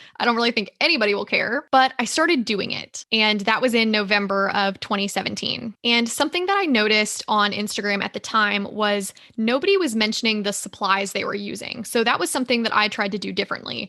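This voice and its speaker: A woman with a Southern US accent speaks fairly quickly with hardly any pauses, her fairly high pitch showing ordinary variation. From US South, Georgia. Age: 20s. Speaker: podcast host, small business owner. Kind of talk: casual chat.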